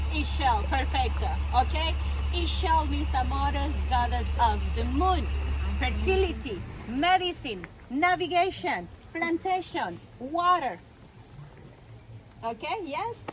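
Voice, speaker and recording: A woman with a Mexican accent talks at a fairly slow pace, leaving long, frequent pauses. Noticeable background noise and audible room echo fill the recording. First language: Spanish. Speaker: tour guide. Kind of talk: guided tour talk.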